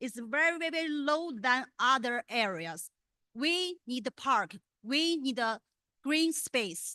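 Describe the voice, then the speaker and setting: At a very slow pace, a woman with a Chinese accent speaks in a raised, projected voice with a high pitch, a bright, sharp tone and lively intonation, the sound dry and close with no echo against a quiet background. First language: Mandarin. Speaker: public commenter at school board meeting. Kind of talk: public comment. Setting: board meeting. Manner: halting.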